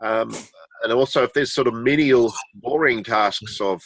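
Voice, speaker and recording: A man with a New Zealand accent, bright, sharp tone and ordinary pitch variation at a moderate pace, dry and close with no echo, over a quiet background. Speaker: webmaster volunteer. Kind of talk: video meeting introduction. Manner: hesitant, many fillers.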